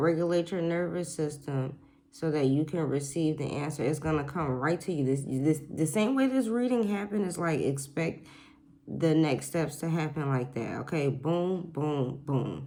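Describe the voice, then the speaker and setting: Soft-spoken, a woman with a very deep, low pitch talks at a moderate pace amid audible room echo. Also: ordinary pitch variation. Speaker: oracle card reader. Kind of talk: spiritual card reading to camera. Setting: at home, quiet house. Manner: soft-spoken, talking low; repetitive, animated.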